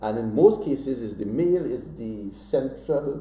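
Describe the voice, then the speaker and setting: A man's voice with audible room echo. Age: 60s. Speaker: author. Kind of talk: interview. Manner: animated.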